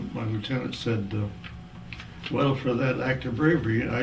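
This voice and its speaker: Over noticeable background noise, a man with an American accent speaks at a moderate pace with fairly even intonation. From Missouri, USA. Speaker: war veteran. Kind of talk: interview answer.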